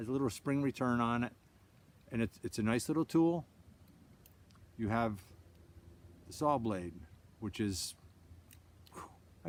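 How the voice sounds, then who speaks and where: This man speaks at a medium pitch and a fairly quick pace with ordinary pitch variation. The recording is very clean, with a silent background. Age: 60s. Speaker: outdoorsman demonstrating gear. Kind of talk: casual product show-and-tell. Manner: halting, repeats words.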